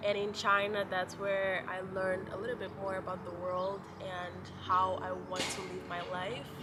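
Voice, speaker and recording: Through noticeable background noise and audible room echo, a woman speaks at a medium pitch and a moderate pace in a monotone, flat intonation. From Mozambique. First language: Portuguese. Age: 20s. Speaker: lifestyle vlogger. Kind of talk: casual chat. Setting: outdoors in a park.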